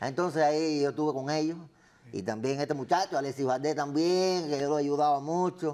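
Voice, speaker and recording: At a fairly quick pace, a man speaks in a dark, mellow tone with fairly high pitch and fairly even intonation. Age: 80s+. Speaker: TV personality; talk show guest. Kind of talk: comedy sketch. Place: studio. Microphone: lapel.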